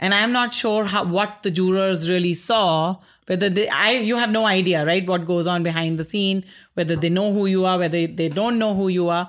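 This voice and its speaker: Speaking at a moderate pace with an Indian accent, the voice keeps a fairly even intonation and very even loudness on a very clean recording with a silent background. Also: woman, medium pitch for a woman. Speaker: artist. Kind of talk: casual interview. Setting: artist's studio.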